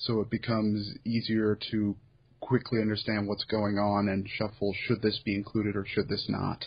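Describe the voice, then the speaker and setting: The man's delivery is monotone, with flat intonation. He keeps a moderate pace and sounds somewhat breathy. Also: fairly low pitch for a man. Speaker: podcast host and site curator. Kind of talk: casual chat.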